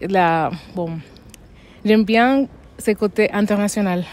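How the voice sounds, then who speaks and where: A woman speaks very slowly at a medium pitch, with ordinary pitch variation. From Dominican Republic. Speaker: resident interviewee. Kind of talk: casual interview. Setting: outdoors in a town square. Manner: hesitant, with fillers and restarts.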